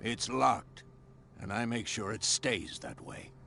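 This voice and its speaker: A man's put-on character voice, raspy and medium-pitched, at a fairly slow pace with big swings in loudness over clear background noise. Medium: video game. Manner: gruff.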